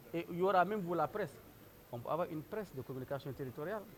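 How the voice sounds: Big pitch swings mark a man's fairly high voice delivered at a very fast pace.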